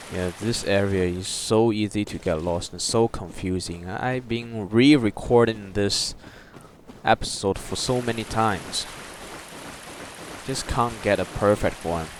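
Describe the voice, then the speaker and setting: Against noticeable background noise, a man with a non-native accent and a fairly low pitch speaks at a fairly slow pace with ordinary pitch variation. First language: not English. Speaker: gaming YouTuber. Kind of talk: gameplay walkthrough commentary. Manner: halting, with fillers.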